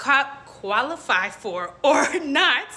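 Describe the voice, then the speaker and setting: A woman is speaking. Her tone is animated. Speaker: faith vlogger. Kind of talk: casual testimony. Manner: fast.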